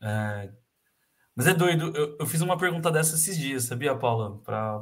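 The man's voice is somewhat breathy. He keeps a moderate pace and ordinary pitch variation. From Brazil, Campinas (São Paulo state). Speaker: handball coach. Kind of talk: casual interview.

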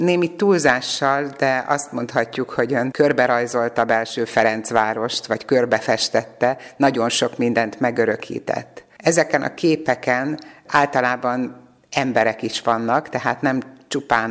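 A woman speaks with a very deep, low pitch and ordinary pitch variation. Her pace is fairly slow. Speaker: radio reporter. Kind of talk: interview. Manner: formal.

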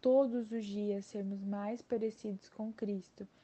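A woman's medium-pitched, dark, mellow and somewhat breathy voice at a fairly slow pace, with monotone, flat intonation. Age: 20s. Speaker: university student. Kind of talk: Bible study discussion.

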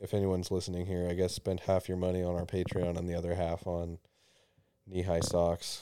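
In a very clean recording with a silent background, a man with a very deep, low voice and a dark, mellow tone speaks at a fairly quick pace in a monotone, flat delivery. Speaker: podcast co-host. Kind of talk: casual comedic banter. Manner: joking, sarcastic.

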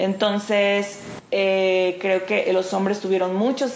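Noticeable background noise sits behind this recording. A woman with a medium pitch speaks at a fairly slow pace. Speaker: actress and clown performer. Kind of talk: interview. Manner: hesitant, many fillers.

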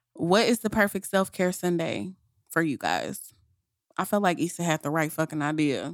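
With lively intonation and a fairly low pitch, a woman speaks at a moderate pace in a dry, close sound with no echo. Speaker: podcast co-host. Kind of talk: casual chat.

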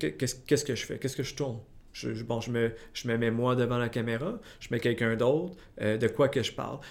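Delivered at a fairly quick pace, a man's medium-pitched voice keeps a fairly even intonation. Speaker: podcast host. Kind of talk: casual interview.

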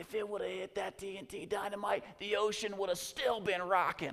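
In a put-on character voice, a female-sounding speaker uses a fairly high pitch at a moderate pace over light background noise.

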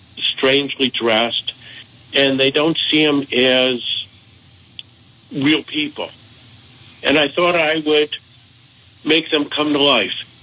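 A man with a fairly high pitch speaks at a very slow pace, with long, frequent pauses, fairly even intonation and very even loudness, over noticeable background noise. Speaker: author. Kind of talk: radio interview.

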